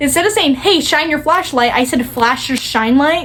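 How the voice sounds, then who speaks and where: A woman talks at a fairly quick pace while noticeable background noise continues. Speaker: vlogger. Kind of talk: casual chat. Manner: fast; slurring words, trips over tongue.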